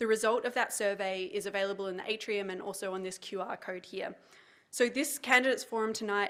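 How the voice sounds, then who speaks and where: In a very clean recording with a silent background, a woman talks at a fairly quick pace. Her medium-pitched voice has fairly even intonation. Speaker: nonprofit executive director. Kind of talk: formal address. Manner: fast.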